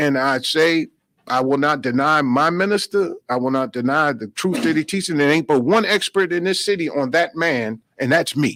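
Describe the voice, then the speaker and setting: This man has a normal speaking voice with an American accent, a fairly high pitch and ordinary pitch variation, speaking at a moderate pace in a very clean recording with a silent background and a dry, close sound with no echo. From New York. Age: 60s. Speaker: minister. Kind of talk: radio interview.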